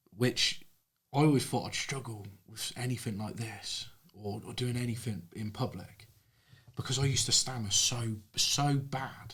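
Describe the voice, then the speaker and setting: A man with a British accent speaks at medium pitch with fairly even intonation and long, frequent pauses. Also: moderate pace. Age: 30s. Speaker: plumber and social media creator. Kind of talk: casual chat.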